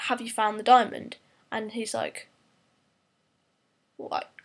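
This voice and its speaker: A woman speaking at a fairly slow pace. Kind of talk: casual movie review to camera.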